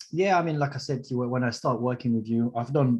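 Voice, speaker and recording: With a Mauritian accent, a man speaks at medium pitch with ordinary pitch variation. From Mauritius. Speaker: sales closer, student of sales training. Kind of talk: testimonial interview on livestream.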